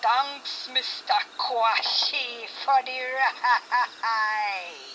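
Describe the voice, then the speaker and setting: A woman's put-on character voice, high-pitched and very slow, with clear background noise. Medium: read story.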